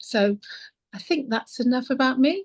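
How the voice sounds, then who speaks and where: The voice is somewhat breathy, at a moderate pace. The background is quiet, and the sound is dry and close with no echo. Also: woman. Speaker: psychic medium. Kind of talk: interview.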